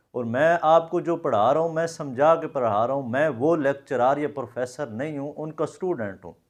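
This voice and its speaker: With a Saraiki accent, a man talks at a moderate pace with hardly any pauses and ordinary pitch variation against a quiet background. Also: fairly high pitch for a man. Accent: Punjabi Saraiki. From Pakistan, Punjab (Jhang district). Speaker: Korean language teacher. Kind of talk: video address to viewers. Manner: informal, mixing Punjabi and Saraiki into Urdu.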